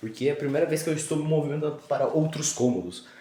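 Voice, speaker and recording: A man's fairly high pitch at a very fast pace, with audible room echo. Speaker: vlogger. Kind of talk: casual vlog. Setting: at home. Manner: casual, halting.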